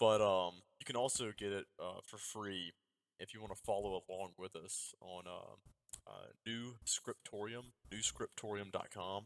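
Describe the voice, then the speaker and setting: A man with a Southern US accent, fairly low in pitch, fairly even in intonation, with big swings in loudness and a dry, close sound with no echo. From US South. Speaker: Anglican priest and podcast host. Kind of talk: casual conversation. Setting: remote call. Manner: fast talker.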